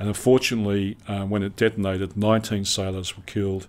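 In an Australian accent, a man speaks at a moderate pace. His pitch is fairly low. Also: very clean recording, silent background. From Western Australia, Perth. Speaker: retired naval officer. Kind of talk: interview.

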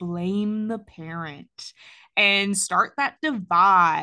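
A woman's bright, sharp, medium-pitched voice with an American accent, over a quiet background. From US South, Georgia. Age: 30s. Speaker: podcast host and parent. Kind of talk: casual interview chat.

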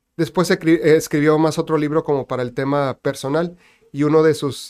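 This man has a fairly high pitch and a monotone, flat intonation. He talks at a moderate pace, and the sound is dry and close with no echo. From Mexico, Tijuana (Baja California border). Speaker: economist and university professor. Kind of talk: interview.

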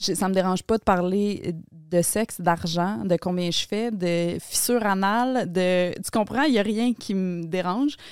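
Her voice is medium-pitched, a plain, everyday voice at a fairly slow pace. She speaks with hardly any pauses. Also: ordinary pitch variation. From Quebec, Laval. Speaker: podcaster. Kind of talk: casual chat.

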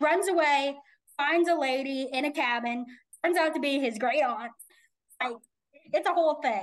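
Speaking at a moderate pace with long, frequent pauses, a woman uses a high pitch and ordinary pitch variation. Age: 20s. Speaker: podcast host and author. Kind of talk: casual chat.

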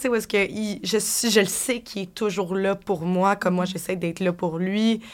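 Speaking at a moderate pace, a woman uses an ordinary speaking voice at medium pitch. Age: 20s. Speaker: bartender. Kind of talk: casual interview chat.

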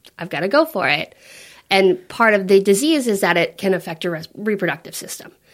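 Big swings in loudness mark a woman's voice at a medium pitch. She talks at a fairly quick pace with lively intonation. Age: 30s. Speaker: mother sharing her birth story. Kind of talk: interview testimony. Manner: animated storytelling.

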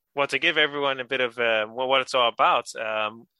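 A man at a medium pitch talks at a fairly quick pace in a clear, smooth, bright and sharp tone, recorded dry and close with no echo. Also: ordinary pitch variation.

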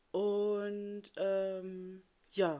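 Her medium-pitched voice has a dark, mellow tone, this woman's speech. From eastern Germany. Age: 30s. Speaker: podcast host, mother. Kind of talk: casual chat. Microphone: amateur setup, possible sound problems.

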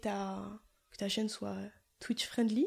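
A woman speaks with a southern French accent. Her pitch is medium. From southern France. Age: 20s. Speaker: streamer. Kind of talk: casual chat.

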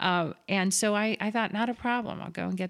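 In an American accent, a woman speaks at a moderate pace with ordinary pitch variation on a very clean recording with a silent background. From South Florida. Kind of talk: interview. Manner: halting, many fillers and repeats.

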